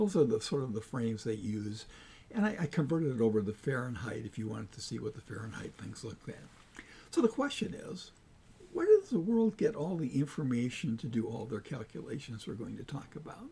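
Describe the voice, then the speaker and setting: A man with an American accent, medium pitch, very wide pitch swings and big swings in loudness. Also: fairly quick pace. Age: 80s+. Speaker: climate data analyst, channel creator. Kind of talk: narrated slide presentation. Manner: casual, halting with fillers.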